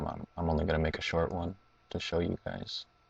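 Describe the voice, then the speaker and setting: Very deep, low male pitch in a monotone, flat delivery, somewhat breathy, at a moderate pace. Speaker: gaming tutorial youtuber. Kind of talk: tutorial. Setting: at home at night. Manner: halting.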